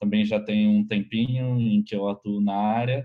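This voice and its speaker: Fairly slow and monotone, a man talks with flat intonation at a fairly low pitch. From Brazil, Rio de Janeiro. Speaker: educational technology specialist. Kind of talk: webinar panel talk.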